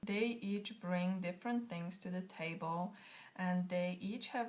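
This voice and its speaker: A somewhat breathy woman's voice. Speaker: tarot deck creator. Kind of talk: casual talk to camera. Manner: choppy, halting.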